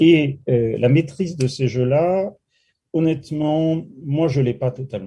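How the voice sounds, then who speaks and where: A man speaks at a fairly slow pace with a dark, mellow tone. His voice is somewhat breathy, with ordinary pitch variation. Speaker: political science professor. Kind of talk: interview. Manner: frank, direct.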